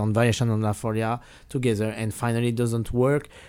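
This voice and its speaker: A man with a French accent at a fairly quick pace, on a very clean recording with a silent background. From France. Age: 40s. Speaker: classical guitarist and teacher. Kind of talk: interview. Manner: halting.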